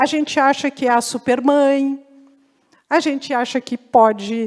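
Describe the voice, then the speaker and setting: A woman's high-pitched voice at a very slow pace. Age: 60s. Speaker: lecturer on healthy aging. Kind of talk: lecture.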